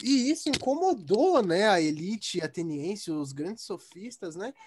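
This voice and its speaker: A man's pitch swings very widely as he talks at a moderate pace, captured on a very clean recording with a silent background. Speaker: philosophy YouTuber. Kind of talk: casual chat. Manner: animated.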